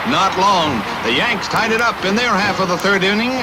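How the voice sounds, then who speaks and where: Over music in the background, a raised, projected voice speaks at a moderate pace with ordinary pitch variation. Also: man. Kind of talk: newsreel sports narration.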